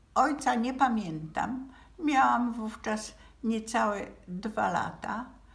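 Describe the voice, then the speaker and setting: Very slowly, a woman speaks in a fairly high pitch with lively intonation, her voice carrying audible room echo. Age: 80s+. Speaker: relative of a Nazi victim. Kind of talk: memorial address. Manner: halting.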